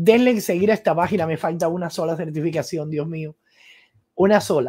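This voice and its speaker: The voice has a dark, mellow tone and ordinary pitch variation. It moves at a moderate pace over a quiet background. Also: woman. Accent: Cuban. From Cuba (Guantánamo); Cuba. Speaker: political commentator and journalist; political commentator, journalist. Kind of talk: live-stream political commentary. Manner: animated. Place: home room. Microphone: studio mic.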